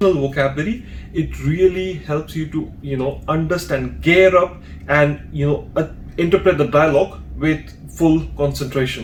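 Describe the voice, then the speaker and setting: Fairly high in pitch, a man speaks with ordinary pitch variation. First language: Hindi or another Indian language. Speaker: language exam trainer. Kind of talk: tutorial.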